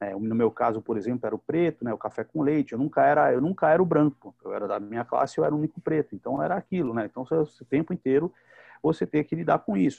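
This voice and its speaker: A man with a fairly high-pitched voice talks at a very fast pace. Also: lively intonation. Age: 50s. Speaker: psychoanalyst and teacher, show presenter. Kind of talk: casual panel discussion.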